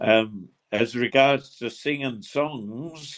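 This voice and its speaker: A man with a Suffolk accent speaks with fairly even intonation. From Suffolk, England. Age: 80s+. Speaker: retired gamekeeper and traditional singer. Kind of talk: interview. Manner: halting, repeats words.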